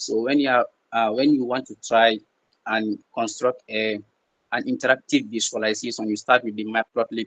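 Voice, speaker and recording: At a moderate pace, the voice has a dry, close sound with no echo. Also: man. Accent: Gambian. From the Gambia. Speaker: peer tutor. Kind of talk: online tutorial. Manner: halting, with repetitions and fillers.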